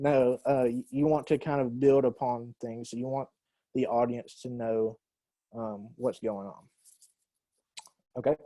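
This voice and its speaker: In a Southern US accent, a man speaks at a fairly slow pace with long, frequent pauses, a medium pitch, a dark, mellow tone and monotone, flat intonation, the sound dry and close with no echo. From US South. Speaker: university English teacher. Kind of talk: lecture.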